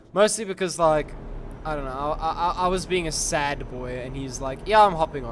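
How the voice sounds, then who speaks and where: With lively intonation, a man speaks fairly quickly at a fairly high pitch. Audible room echo and noticeable background noise accompany him. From South Africa. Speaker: gaming streamer. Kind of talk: casual chat. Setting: video call.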